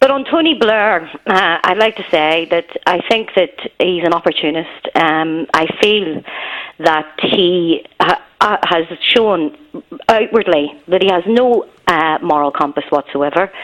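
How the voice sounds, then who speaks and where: A woman with a Belfast accent talks at a fairly slow pace, her pitch fairly low. Her intonation is lively, and background noise is noticeable. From Northern Ireland, Belfast. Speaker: caller. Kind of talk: phone-in call. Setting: phone call.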